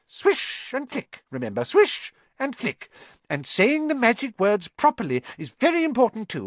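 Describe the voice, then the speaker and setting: A man puts on a squeaky character voice at an extremely high pitch, speaking at a moderate pace. The sound is dry and close with no echo, over a quiet background. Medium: read story. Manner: cheerful, encouraging.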